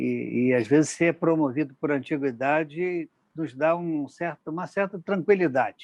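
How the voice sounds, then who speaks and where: An unremarkable speaking voice from a man at a fairly slow pace, with ordinary pitch variation, a dry, close sound with no echo, and a quiet background. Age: 60s. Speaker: interviewer for a magistrates' institute. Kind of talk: formal interview. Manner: formal.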